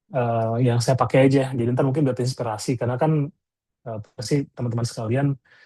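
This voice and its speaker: A man's somewhat breathy, dark, mellow voice at medium pitch, fairly even in intonation and fairly quick, over a quiet background. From Indonesia, Bandung (West Java). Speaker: product designer, webinar speaker. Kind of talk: webinar presentation. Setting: online webinar. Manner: casual, with many filler hesitations.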